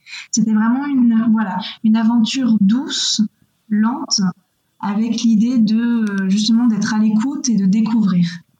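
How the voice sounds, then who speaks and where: A woman speaks at a fairly slow pace in a fairly high pitch, with fairly even intonation and very even loudness. Audible room echo surrounds her voice. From western France, near Angers. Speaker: eco-adventurer and environmental activist. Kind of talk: interview. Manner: hesitant, many fillers and repetitions.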